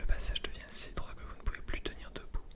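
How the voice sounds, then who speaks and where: Someone is whispering at a fairly quick pace. Noticeable background noise runs underneath. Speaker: channel host reading a gamebook aloud and playing along. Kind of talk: reading book text aloud in second person.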